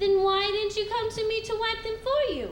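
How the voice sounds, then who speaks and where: In a squeaky, put-on character voice at an extremely high pitch, a woman speaks at a moderate pace, with clear background noise and a slight echo. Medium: stage play. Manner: tender, gently teasing.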